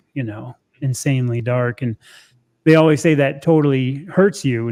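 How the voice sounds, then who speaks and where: A man with an unremarkable speaking voice talks at a fairly quick pace, with ordinary pitch variation. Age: 60s. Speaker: carnivore diet content creator. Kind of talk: casual chat. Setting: live stream.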